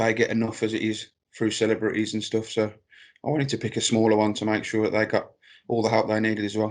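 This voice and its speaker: Over a quiet background, a man speaks very fast in a Birmingham accent at a medium pitch with monotone, flat intonation. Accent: Brummie. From Birmingham, England. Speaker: clothing brand founder. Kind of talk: interview.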